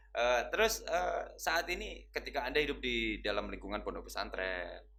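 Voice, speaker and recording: A man's words come at a moderate pace, and audible room echo hangs around them. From East Java. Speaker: interviewer at Islamic boarding school channel. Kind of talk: interview.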